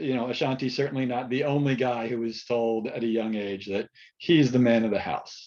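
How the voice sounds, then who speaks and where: A man with an American accent speaks in a dark, mellow tone at medium pitch. His pace is fairly quick and his intonation fairly even. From United States. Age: middle-aged. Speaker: therapist and researcher on men. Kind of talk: webinar panel talk.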